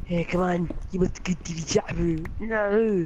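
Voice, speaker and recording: At a fairly slow pace and middle pitch, a strained, put-on character voice speaks over clear background noise. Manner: strained, constipated.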